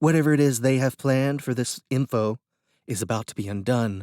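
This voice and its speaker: A put-on character voice with ordinary pitch variation. The pace is fairly quick. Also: man, medium pitch for a man. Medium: read story. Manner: blunt, practical.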